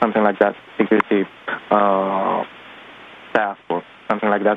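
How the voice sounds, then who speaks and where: Over noticeable background noise, a man with a Romanian accent speaks at a fairly low pitch. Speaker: caller, activist photographer. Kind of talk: phone-in testimony. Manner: halting, many fillers.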